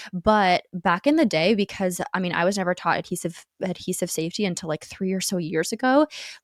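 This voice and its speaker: A woman speaks at a fairly quick pace and medium pitch with hardly any pauses and ordinary pitch variation. The recording is very clean, with a silent background and a dry, close sound with no echo. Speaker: lash artist, podcast co-host. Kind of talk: casual chat. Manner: frequent throat clearing.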